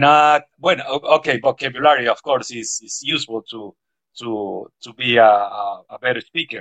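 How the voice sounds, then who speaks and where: A man speaks with a Spanish accent at medium pitch and a moderate pace. His pitch varies in an ordinary way while his loudness swings widely. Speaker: school principal and English teacher. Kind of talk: interview.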